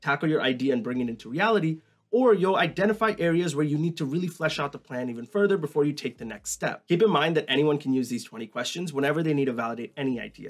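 A man races along at a very fast pace with lively intonation and hardly any pauses, the background quiet. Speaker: educational YouTuber. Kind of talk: tutorial. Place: home room.

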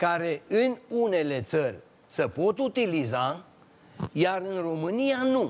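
Speaking very slowly, a man uses a high pitch with very wide pitch swings. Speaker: retired agronomist engineer. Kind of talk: TV talk show discussion. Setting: TV studio. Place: studio.

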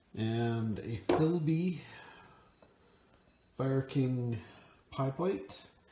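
Audible room echo and light background noise around a man speaking at a very slow pace. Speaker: reseller showing finds. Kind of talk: casual vlog chat. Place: garage. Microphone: phone near.

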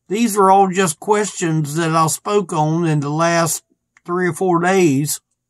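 The background is quiet as a man with a high pitch speaks at a very slow pace. His pitch varies in an ordinary way. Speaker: ministry preacher. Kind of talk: devotional talk. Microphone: phone near.

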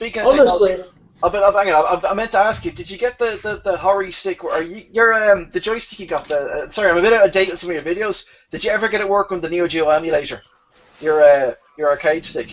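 Music plays in the background as a man with an Irish accent speaks at a moderate pace. His voice is high-pitched, with ordinary pitch variation and big swings in loudness. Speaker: livestream panel participant. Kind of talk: casual, joking. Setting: online voice call. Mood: relaxed, jokey. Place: home room. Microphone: webcam.

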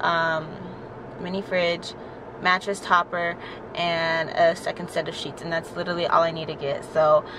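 Flat, monotone intonation at a moderate pace, in a dry sound with no echo and noticeable background noise. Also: woman, fairly low pitch for a woman. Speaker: vlogger. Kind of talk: casual vlog chat. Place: car. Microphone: phone near.

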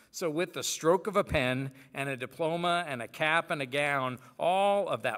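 A man's bright, sharp voice at a fairly slow pace, with a quiet background. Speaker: preacher. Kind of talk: sermon. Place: church. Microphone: podium.

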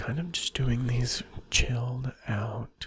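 A man's quiet whispering in a dry sound with no echo. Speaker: ASMR creator. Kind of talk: ASMR whisper, close-mic, sleep-inducing. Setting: video, close to microphone. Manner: whispery, hushed, slow, soothing; repetitive, lulling, intimate. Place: home room. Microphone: studio mic.

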